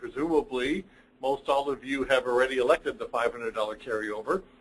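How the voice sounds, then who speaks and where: The speaker has a normal speaking voice. The pace is fairly quick. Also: man. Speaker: accounting firm partner presenting reports. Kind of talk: webinar presentation. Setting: online webinar.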